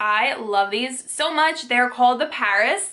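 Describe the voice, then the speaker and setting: A woman speaks with ordinary pitch variation. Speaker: vlogger. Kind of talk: casual vlog chat, sponsored segment. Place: home room.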